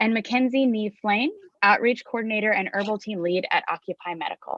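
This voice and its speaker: Fairly quick in pace, a woman talks at a fairly high pitch. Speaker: nonprofit president and panel moderator. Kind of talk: panel moderation introduction. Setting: video call live stream. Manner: fast.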